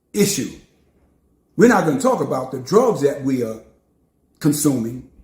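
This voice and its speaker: Animated and somewhat breathy, a man with a New York accent speaks at a moderate pace with a fairly high pitch and very wide pitch swings, in audible room echo. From New York City. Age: 70s. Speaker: preacher. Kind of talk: sermon.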